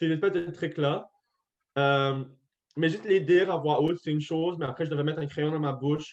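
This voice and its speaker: A man with a fairly high voice talks at a fairly quick pace with fairly even intonation, though long, frequent pauses break up his speech. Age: 20s. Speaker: deaf medical student. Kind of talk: interview testimony. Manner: articulation affected by hearing loss; volume hard to balance.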